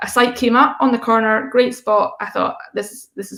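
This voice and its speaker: A woman with a Scottish accent speaks at a moderate pace. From Scotland, Fife. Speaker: coffee roastery founder. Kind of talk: conference talk.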